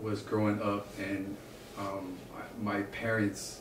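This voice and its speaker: A man speaks at a fairly low pitch in a monotone, flat delivery. Audible room echo and noticeable background noise surround him. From Samoa. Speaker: musician. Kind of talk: interview. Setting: at home in the Hollywood Hills. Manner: halting.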